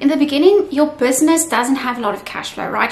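Faint background noise sits behind a woman speaking at a high pitch.

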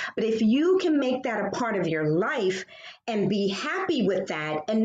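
A woman with a fairly high pitch talks at a moderate pace, her pitch swinging very widely. There is light background noise and audible room echo. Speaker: session creator and member; session creator. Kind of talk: casual sharing. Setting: video call. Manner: excitable. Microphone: video call.

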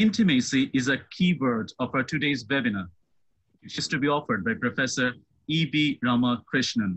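This man has a normal speaking voice at a medium pitch. He talks at a moderate pace with lively intonation. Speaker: professor, webinar convener. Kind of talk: formal introduction. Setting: video call. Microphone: video call.

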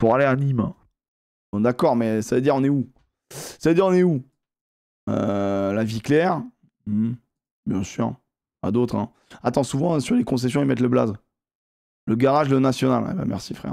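Over a quiet background, a man with a dark, mellow tone speaks at a moderate pace with ordinary pitch variation and long, frequent pauses. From southern France (near Montpellier); southern France. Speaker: gaming streamer. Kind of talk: live gaming stream commentary. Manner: animated. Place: home room. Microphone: headset.

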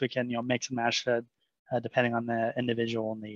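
The sound is dry with no echo, and the background is quiet. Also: man. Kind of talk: product demo walkthrough.

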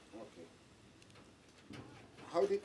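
Light background noise sits behind a man's speech. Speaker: interviewer. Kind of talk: casual interview. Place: studio.

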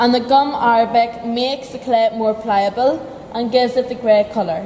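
A woman with a fairly high pitch and a dark, mellow tone talks at a moderate pace with fairly even intonation, and room echo is audible.

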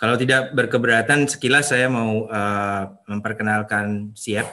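A man's fairly low voice carries a bright, sharp tone. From Indonesia. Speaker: energy industry professional; webinar presenter. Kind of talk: webinar presentation. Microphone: video call.

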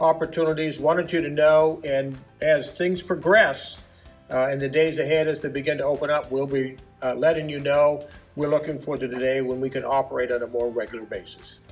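A man talks at a fairly quick pace with fairly even intonation. Faint music plays in the background. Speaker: church pastor. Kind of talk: announcement to congregation. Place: hall. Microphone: camera far.

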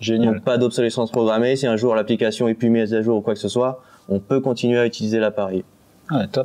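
A man's dark, mellow voice at a very fast pace, monotone and flat, with very even loudness. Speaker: hi-fi product writer. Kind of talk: product presentation. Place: studio.

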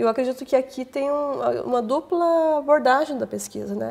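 The speaker is a woman. Her voice is high in pitch. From Paraná, Brazil (Irati); Paraná, Brazil. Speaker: historian and teacher; teacher. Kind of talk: academic interview. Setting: studio. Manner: halting, many fillers. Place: studio. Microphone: lapel.

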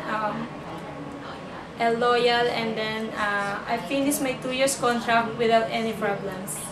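A woman speaks at a fairly slow pace with fairly even intonation over noticeable background noise. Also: fairly high pitch for a woman. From Philippines (Camarines Norte); Philippines. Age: 30s. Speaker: domestic helper applicant. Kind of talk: job interview. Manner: halting. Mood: calm, modest. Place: empty room. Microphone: camera far.

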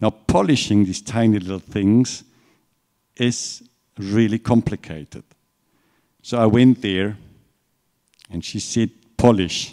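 With a German accent, a man speaks in a dark, mellow tone at a fairly low pitch. His pace is fairly slow, with long, frequent pauses against a quiet background. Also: ordinary pitch variation. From Germany. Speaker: watch company executive. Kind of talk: lecture. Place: hall.

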